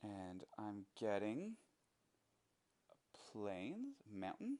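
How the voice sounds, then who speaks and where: A man speaks at a very slow pace. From Canada. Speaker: gaming YouTuber. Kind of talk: gameplay commentary. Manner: animated.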